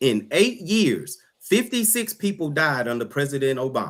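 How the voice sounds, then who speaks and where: A loud, passionate, animated man with a fairly high pitch, very wide pitch swings and a moderate pace. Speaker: political panel guest. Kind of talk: heated debate.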